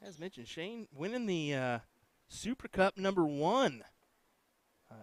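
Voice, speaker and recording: A man with a Midwestern American accent, fairly high pitch, very wide pitch swings, big swings in loudness, a fairly slow pace with long, frequent pauses, and a dry, close sound with no echo. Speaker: darts commentator. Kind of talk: live commentary. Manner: animated.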